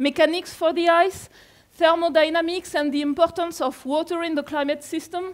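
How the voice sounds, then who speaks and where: A woman's extremely high voice in a French accent, at a moderate pace. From France. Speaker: climate scientist. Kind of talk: lecture. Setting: conference room with audience.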